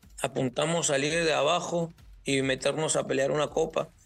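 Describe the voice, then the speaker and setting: With music playing behind him, a man speaks fairly quickly. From Peru, Lima. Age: 20s. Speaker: professional footballer. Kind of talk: interview.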